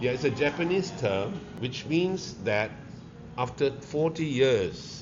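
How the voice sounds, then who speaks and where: A man with a Malaysian accent speaks at a very slow pace. His pitch swings very widely, and audible room echo surrounds the voice. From Malaysia, Kuala Lumpur (Pudu). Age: 70s. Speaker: restaurateur. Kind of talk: interview. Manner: halting.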